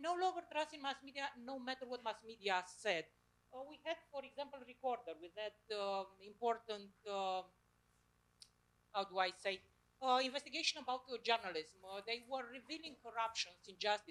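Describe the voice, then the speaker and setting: The intonation is lively, with big swings in loudness. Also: woman, high pitch for a woman, moderate pace. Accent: Romanian. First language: Romanian. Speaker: audience member asking a question. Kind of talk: public forum question. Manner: halting.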